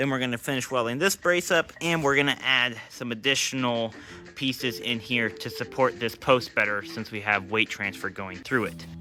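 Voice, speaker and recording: The talking moves at a moderate pace. Background music is playing. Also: man, medium pitch for a man. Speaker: DIY vehicle builder. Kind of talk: workshop build tutorial. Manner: casual, frequent uh fillers.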